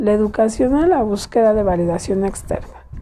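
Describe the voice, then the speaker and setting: Against noticeable background noise, a woman with a medium pitch speaks at a fairly slow pace. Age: 30s. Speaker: podcast host. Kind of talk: solo monologue, partly read informational segment.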